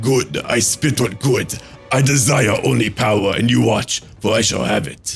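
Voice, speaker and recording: A man's put-on character voice at medium pitch, moderate pace, with clear music in the background. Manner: menacing, power-hungry, scornful.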